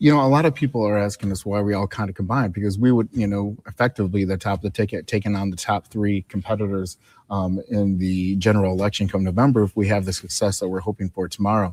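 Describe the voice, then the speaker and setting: A very fast man with an American accent, fairly low in pitch and fairly even in intonation, in a dry, close, echo-free, very clean recording with a silent background. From Chicago. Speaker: lieutenant governor candidate. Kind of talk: campaign livestream chat.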